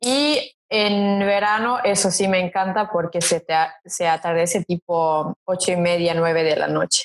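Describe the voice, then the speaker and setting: Speaking with a Serbian accent, a woman goes at a fairly slow pace with hardly any pauses, ordinary pitch variation and very even loudness. The sound is dry and close, with no echo. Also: medium pitch for a woman. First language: Serbian (speaking Spanish). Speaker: model, interview guest. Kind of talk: casual interview chat.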